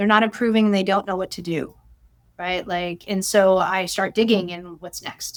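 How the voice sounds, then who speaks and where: In a very clean recording with a silent background, a woman at medium pitch talks at a moderate pace with fairly even intonation and big swings in loudness. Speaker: chiropractor. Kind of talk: interview. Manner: loud laugh; halting.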